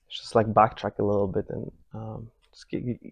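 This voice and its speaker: A soft-spoken man talks at a fairly low pitch. The sound is dry and close, with no echo. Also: quiet background. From Poland. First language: Polish. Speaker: meditation teacher. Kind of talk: retreat talk. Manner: halting, many repetitions and restarts.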